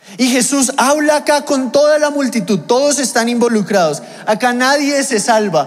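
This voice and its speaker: A man speaks at a moderate pace in an extremely high pitch, with ordinary pitch variation and very even loudness. Audible room echo and noticeable background noise fill the recording. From Mexico. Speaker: pastor. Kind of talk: sermon.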